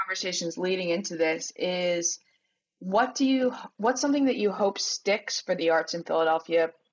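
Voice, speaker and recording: Here is a woman with an ordinary speaking voice and a fairly low pitch. She talks at a moderate pace with ordinary pitch variation. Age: 20s. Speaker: arts writer. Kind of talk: casual chat.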